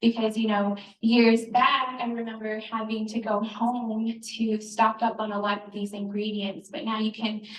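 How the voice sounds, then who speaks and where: Soft-spoken and monotone, flat in intonation, at a fairly slow pace. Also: woman. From Northern New Mexico, Navajo. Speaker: cookbook author. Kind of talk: live cooking demonstration. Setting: store event with audience, handheld mic.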